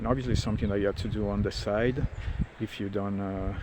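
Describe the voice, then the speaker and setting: A man with a fairly low pitch is heard against noticeable background noise. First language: not English. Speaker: spiritual content creator. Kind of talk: casual monologue, walk and talk. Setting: outdoors, walking. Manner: halting, many fillers. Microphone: smartphone recording.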